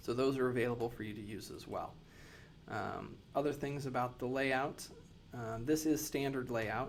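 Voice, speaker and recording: With audible room echo, a man speaks at a moderate pace and medium pitch, his intonation fairly even. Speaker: nurse educator. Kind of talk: tutorial.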